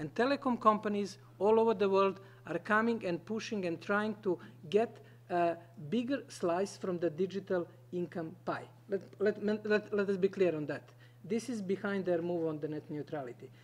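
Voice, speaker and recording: The speaker has a non-native accent and ordinary pitch variation. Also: man, high pitch for a man, moderate pace. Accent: noticeable non-native English. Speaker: conference panelist. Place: meeting room. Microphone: podium.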